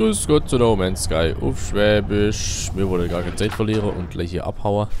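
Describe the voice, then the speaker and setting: A fairly low-pitched man against noticeable background noise. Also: ordinary pitch variation, moderate pace. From Swabia, Germany. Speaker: let's play gamer. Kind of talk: casual gameplay commentary.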